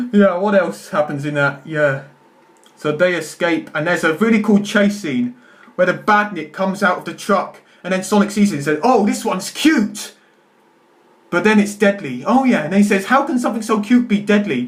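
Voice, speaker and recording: High pitch and lively intonation from a male speaker. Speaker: YouTuber. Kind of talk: film review monologue. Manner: fast; stammering.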